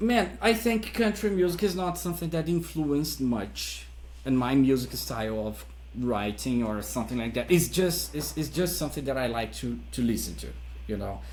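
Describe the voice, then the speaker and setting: Speaking with a Brazilian accent at a moderate pace, a man is heard with audible room echo. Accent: Brazilian non-native English. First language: Portuguese. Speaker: metal musician. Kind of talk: interview. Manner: halting, with many repetitions.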